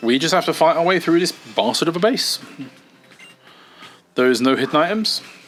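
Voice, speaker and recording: A speaker with a British accent uses lively intonation at a fairly quick pace, with long, frequent pauses. Loudness stays very even under noticeable background noise. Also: man, high pitch for a man. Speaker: gaming video creator. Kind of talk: let's play gaming commentary. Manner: casual, rambling.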